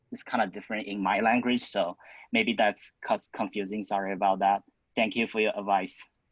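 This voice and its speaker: A man with a non-native accent speaks at a fairly quick pace, his fairly low pitch delivered in a monotone, flat intonation. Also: dry, close sound with no echo. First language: not English. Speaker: student club founder presenting. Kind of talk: Q&A at online club council meeting.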